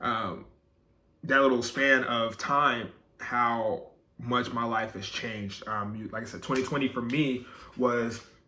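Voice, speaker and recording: In a room with audible echo, a man speaks at a fairly slow pace in a bright, sharp tone, his intonation monotone and flat while his loudness swings widely. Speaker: YouTuber. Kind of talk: personal vlog monologue. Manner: filler-heavy, casual.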